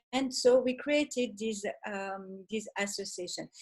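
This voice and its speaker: A woman with a French accent, somewhat breathy and fairly high in pitch, at a moderate pace with ordinary pitch variation. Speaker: fashion association founder. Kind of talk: online panel discussion. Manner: halting, many fillers.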